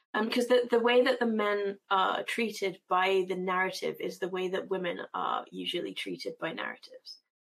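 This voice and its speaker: Hardly pausing at all, a woman talks at a moderate pace. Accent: British. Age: 30s. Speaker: comics editor and cartoonist. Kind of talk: casual chat.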